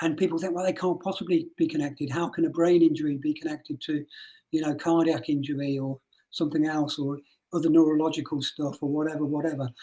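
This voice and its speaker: In a Birmingham accent, a man talks very fast in a monotone, flat intonation with a dark, mellow tone. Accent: Birmingham twang. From English Midlands (Rugby). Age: 60s. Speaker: mental health nurse. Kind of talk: interview.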